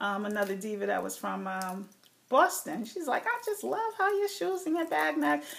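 A woman with an American accent talks fairly quickly at a fairly high pitch. Background noise is noticeable. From New Jersey. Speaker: beauty and fashion YouTuber. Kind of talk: casual vlog talking to camera. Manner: casual, hesitant with fillers.

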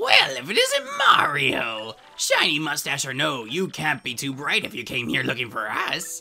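In a put-on character voice with a bright, sharp tone and vocal fry, the speaker swings very widely in pitch at a fairly slow pace while faint music plays in the background. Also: man, fairly high pitch for a man.

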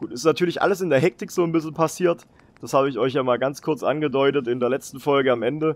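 A man delivers his words at a very fast pace. His pitch is fairly high. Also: ordinary pitch variation. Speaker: gaming YouTuber. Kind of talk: casual gameplay commentary, dubbed afterwards. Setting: home recording, voice-over. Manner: casual, chatty, hesitant with fillers.

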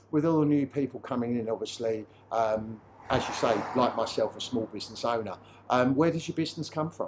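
Noticeable background noise behind a man's fairly quick speech with ordinary pitch variation. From Dartford, Kent (south-east England); Kent. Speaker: estate agent; estate agent host. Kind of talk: promotional interview. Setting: on location at a car repair garage. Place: workshop. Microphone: lapel.

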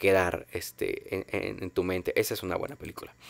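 A man speaks at a moderate pace in dry sound with no echo. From Mexico. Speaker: film podcast host. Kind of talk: casual monologue. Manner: halting, many fillers. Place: home room. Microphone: studio mic.

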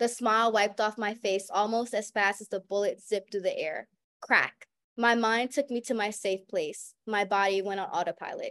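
A woman with an American accent and a fairly high pitch, at a moderate pace over a quiet background. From US South (New Orleans); Louisiana. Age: young. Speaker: college student panelist and moderator; panelist, moderator. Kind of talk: webinar panel talk. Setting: video call. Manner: animated. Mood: dramatic, solemn reading. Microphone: video call.

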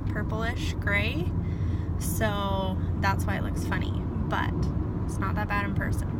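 A woman's voice comes through with a dry sound and no echo. Loud background noise runs underneath. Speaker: vlogger. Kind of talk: casual vlog chat. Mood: upbeat, relaxed. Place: car. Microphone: phone near.

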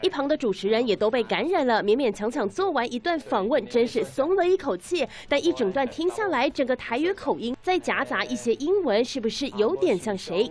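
A woman talks at a moderate pace with hardly any pauses, her high pitch making very wide swings. Noticeable background noise runs behind her. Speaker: news reporter. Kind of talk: TV news report narration.

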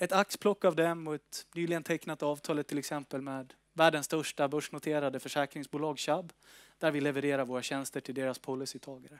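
In a northern Swedish accent, a man with a fairly high pitch talks at a fairly quick pace with fairly even intonation, his voice dry with no echo over a quiet background. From northern Sweden. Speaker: company executive. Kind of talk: investor presentation. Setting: stage with audience. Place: meeting room. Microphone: headset.

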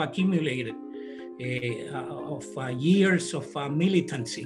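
Over clear background music, a man talks at a very slow pace. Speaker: candidate. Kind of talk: campaign statement. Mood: earnest, committed. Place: home room. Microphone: webcam.

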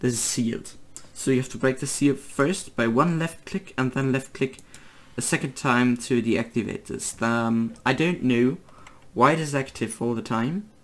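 The speaker has a German accent and talks at a moderate pace. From Germany. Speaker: gaming video creator. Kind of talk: tutorial. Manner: halting, many fillers.

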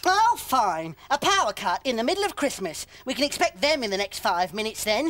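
A cartoonish character voice, fairly high in pitch, with very wide pitch swings, a fairly quick pace and hardly any pauses. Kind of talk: comic puppet voice. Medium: comedy sketch.

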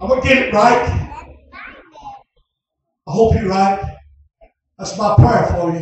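A man's high-pitched voice at a fairly slow pace with ordinary pitch variation, strong room echo and noticeable background noise. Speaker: preacher. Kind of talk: revival sermon. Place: tent. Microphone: camera far.

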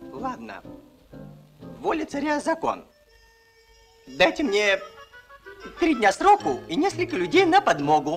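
With faint music in the background, a man does a cartoonish character voice at extremely high pitch, slightly husky at the edge, with very wide pitch swings, a fairly slow pace and long, frequent pauses.

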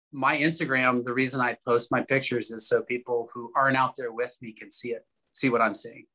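A man with a West Coast accent speaks in a bright, sharp tone at medium pitch with ordinary pitch variation, over a quiet background. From US Pacific Northwest. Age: 50s. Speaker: farmer and former tobacco user; interview guest. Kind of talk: interview testimony. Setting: video call. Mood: warm, enthusiastic. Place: home room. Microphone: video call.

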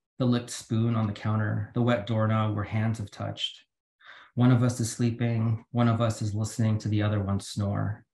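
A somewhat breathy man at medium pitch, with monotone, flat intonation, a moderate pace and audible room echo. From Philippines. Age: 40s. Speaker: poet. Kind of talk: poetry reading. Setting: video call. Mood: calm, measured. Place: home room. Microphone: video call.

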